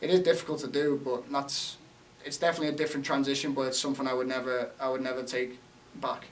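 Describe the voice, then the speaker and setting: A very fast, monotone man's voice with flat intonation, fairly high pitched for a man, over noticeable background noise. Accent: American. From England, Liverpool. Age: 20s. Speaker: college soccer player. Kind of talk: interview.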